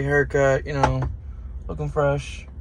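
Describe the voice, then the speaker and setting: Noticeable background noise and audible room echo surround a man who talks at a moderate pace. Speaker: truck driver vlogger. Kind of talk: casual vlog monologue.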